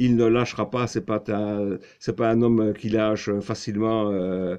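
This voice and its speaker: A dark, mellow tone with monotone, flat intonation at a fairly slow pace, over a quiet background. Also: man. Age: 60s. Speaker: political commentary vlogger. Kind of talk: video monologue. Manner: halting, many fillers.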